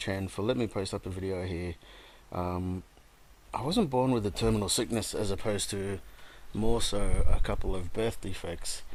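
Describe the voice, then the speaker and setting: In an Australian accent, a man with a fairly low pitch speaks at a moderate pace with fairly even intonation. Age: 30s. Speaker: gamer telling his life story. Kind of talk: personal testimony. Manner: halting, many fillers.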